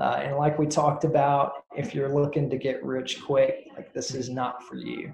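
A man with an American accent and a fairly high pitch speaks at a fairly slow pace in a somewhat breathy voice with a dark, mellow tone, and audible room echo around him. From US South, North Alabama. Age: 30s. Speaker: realtor. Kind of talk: interview.

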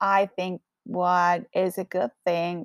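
A woman speaks with a strong Colombian accent. The sound is dry and close with no echo, on a very clean recording with a silent background. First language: Spanish. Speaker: podcast host. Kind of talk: casual monologue.

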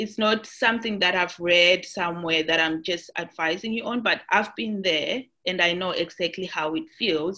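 With a bright, sharp tone, a woman talks with hardly any pauses and ordinary pitch variation. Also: medium pitch for a woman, moderate pace. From Zimbabwe. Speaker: nurse. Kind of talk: interview testimony.

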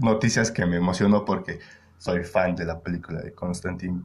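A man talks with a Mexican accent. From Mexico, Querétaro. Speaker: podcast host. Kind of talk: casual chat. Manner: halting.

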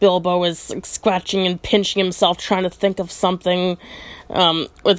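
Reading in an unforced voice.

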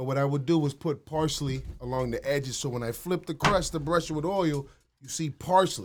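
With a plain, everyday voice, a man speaks at a moderate pace using ordinary pitch variation. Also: fairly high pitch for a man. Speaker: food entrepreneur. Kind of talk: casual interview chat. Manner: casual, slangy.

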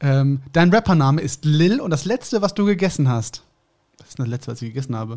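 On a very clean recording with a silent background, a man with an unremarkable speaking voice talks at a fairly quick pace. His pitch is fairly high, his intonation lively, and his loudness swings widely. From Germany. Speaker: podcast co-host. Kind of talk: casual chat.

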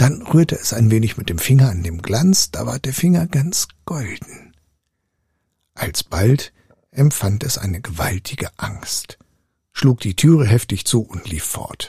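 A man's dark, mellow, somewhat breathy voice, medium in pitch, calm and soothing, at a fairly slow pace with very wide pitch swings, big swings in loudness and a dry, close sound with no echo. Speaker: storyteller reading fairy tales aloud. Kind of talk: fairy tale storytelling. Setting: live audio room on Clubhouse. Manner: calm, soothing, slow-paced bedtime reading.

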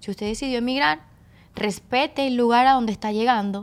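Her pace is fairly quick and her pitch fairly high, in a normal speaking voice. The woman is recorded very cleanly against a silent background. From Caracas, Venezuela (Petare). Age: 20s. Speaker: strength coach. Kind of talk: casual interview. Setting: studio.

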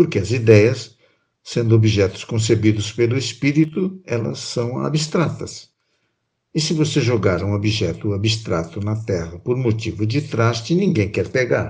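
A man with a medium-pitched, somewhat breathy voice speaks at a fairly slow pace. His intonation is lively. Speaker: podcast co-host and narrator. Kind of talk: scripted narration and poetry reading. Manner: calm, measured, expressive.

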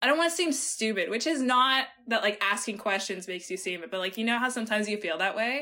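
A woman's fairly high, bright, sharp voice with lively intonation, very fast pace and hardly any pauses. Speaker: engineering student. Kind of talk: casual interview.

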